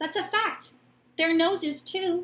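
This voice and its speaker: A woman puts on a squeaky character voice. Her pitch is extremely high, with fairly even intonation. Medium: read story. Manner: courteous, gentle.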